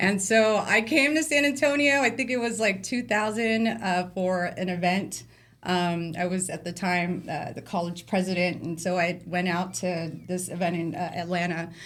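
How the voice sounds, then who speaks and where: A woman speaks at a moderate pace with an American accent, her medium pitch carried by lively intonation. She hardly pauses, and the room echo is audible. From Bay Area, California (Vallejo). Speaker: glass artist. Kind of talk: interview.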